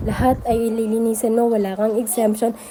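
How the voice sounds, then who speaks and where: There is noticeable background noise. A woman speaks in a high pitch at a fairly quick pace. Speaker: vlogger, mother running a small store. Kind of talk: casual vlog narration. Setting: small store by the road. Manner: chatty, conversational.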